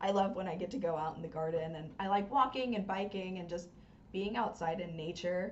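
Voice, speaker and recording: At a fairly quick pace, a woman with an American accent talks in an ordinary speaking voice at medium pitch with ordinary pitch variation. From US South, North Carolina. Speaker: hockey podcast co-host. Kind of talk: casual chat.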